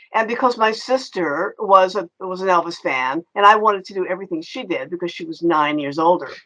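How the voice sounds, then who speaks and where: A woman with an American accent speaks at a fairly quick pace with hardly any pauses, at a medium pitch with ordinary pitch variation. Her tone is bright and sharp, and her loudness swings widely. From Kentucky, US South (Louisville). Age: 70s. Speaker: author. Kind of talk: interview.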